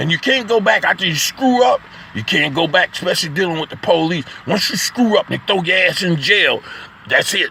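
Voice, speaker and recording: Over noticeable background noise, a man uses a raised, projected voice with an animated tone and a high pitch. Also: fairly quick pace. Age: 60s. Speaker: poet and vlogger. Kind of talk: casual spoken monologue. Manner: animated, halting with repetitions.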